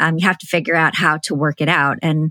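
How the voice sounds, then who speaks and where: Here a woman speaks at a moderate pace. Her pitch is fairly low. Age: 40s. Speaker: author and entrepreneur. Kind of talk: interview. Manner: halting, many fillers.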